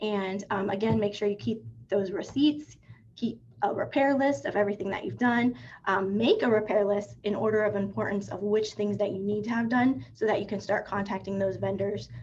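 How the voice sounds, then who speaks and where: This woman's voice sits at a medium pitch with vocal fry and ordinary pitch variation. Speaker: real estate attorney presenting. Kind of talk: webinar presentation. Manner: fast.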